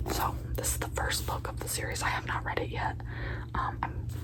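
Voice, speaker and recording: Someone whispers over noticeable background noise. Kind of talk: casual ASMR ramble to camera. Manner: casual, chatty, playful.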